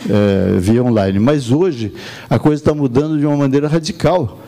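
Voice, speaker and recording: The man's voice is medium in pitch, and noticeable noise runs in the background. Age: 70s. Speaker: professional council leader. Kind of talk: conference speech.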